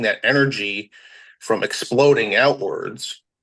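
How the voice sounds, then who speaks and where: The background is quiet as a man talks. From US, Maryland. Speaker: social worker, podcast guest. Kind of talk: casual interview chat. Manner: fast-talking.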